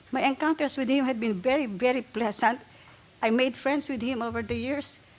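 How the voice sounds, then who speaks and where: Against noticeable background noise, a woman with an American accent speaks fairly quickly in a high voice with fairly even intonation. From abroad, not US (came to the States after college). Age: 70s. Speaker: public commenter at transit board meeting. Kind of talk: public comment testimony. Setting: public meeting at table microphone.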